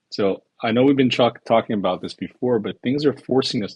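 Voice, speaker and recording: A man talks at a fairly quick pace in an ordinary speaking voice. His pitch varies in an ordinary way. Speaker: tech company founder. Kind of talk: casual chat. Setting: online audio space.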